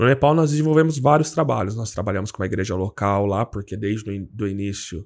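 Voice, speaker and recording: Over a quiet background, a man speaks at a moderate pace in a fairly low voice with ordinary pitch variation. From Brazil, São Paulo state (Jundiaí); São Paulo state, Brazil. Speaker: seminarian, missionary; podcast guest. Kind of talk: casual interview, faith testimony. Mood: calm, earnest. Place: studio. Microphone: studio mic.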